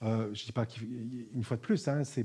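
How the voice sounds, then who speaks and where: A man talks at a moderate pace in a medium pitch, his tone dark and mellow. His intonation stays fairly even against a quiet background. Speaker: spiritual teacher. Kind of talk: talk to an audience.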